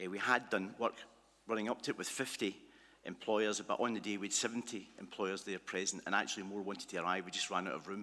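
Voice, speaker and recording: A man talks at a very fast pace in a Glasgow accent. His tone is bright and sharp, his intonation fairly even. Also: fairly low pitch for a man. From Scotland, Glasgow. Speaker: conference presenter. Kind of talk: presentation. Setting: conference hall with livestream. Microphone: initially too far from mic, livestream struggling.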